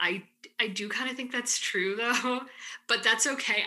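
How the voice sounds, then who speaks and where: A woman at a fairly quick pace, with a Midwestern accent. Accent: US Midwest English. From Michigan, US Midwest (Ann Arbor). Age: 20s. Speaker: graduate student. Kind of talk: interview.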